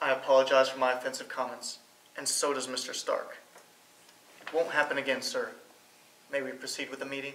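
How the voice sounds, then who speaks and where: A man's monotone, flat delivery at a fairly quick pace, with audible room echo and light background noise. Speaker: actor playing a meeting attendee. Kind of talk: scripted scene dialogue. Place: meeting room.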